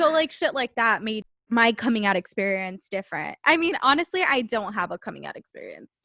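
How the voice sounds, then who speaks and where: Fairly quick, fairly high-pitched speech from a woman with an American accent, a bright, sharp tone, very wide pitch swings, big swings in loudness and a dry, close sound with no echo. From Southern California. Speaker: podcast host. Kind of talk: casual chat.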